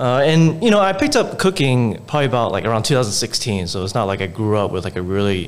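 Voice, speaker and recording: With an American accent, a man speaks at a very fast pace. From Houston, Texas. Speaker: restaurant owner. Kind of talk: casual interview.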